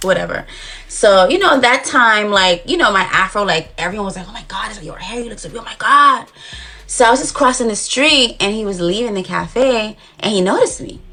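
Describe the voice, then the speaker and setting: Over noticeable background noise, a woman talks at a fairly quick pace with big swings in loudness. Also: fairly high pitch for a woman. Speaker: dating show contestant. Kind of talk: casual chat. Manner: rambling hesitant with many fillers.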